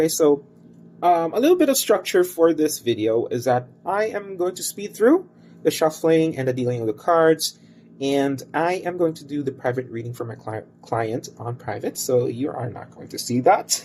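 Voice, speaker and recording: A man with a Filipino accent, lively intonation and big swings in loudness. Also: fairly high pitch for a man, moderate pace. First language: Cebuano and Tagalog. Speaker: tarot reader and crystal bracelet maker. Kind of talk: tarot reading video introduction. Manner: hesitant, many fillers.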